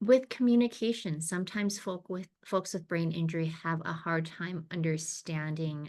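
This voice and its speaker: Her speech is a normal speaking voice, a woman's at fairly low pitch, with ordinary pitch variation and a moderate pace. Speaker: brain injury professional presenting a training. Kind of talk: educational presentation. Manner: many fillers and restarts.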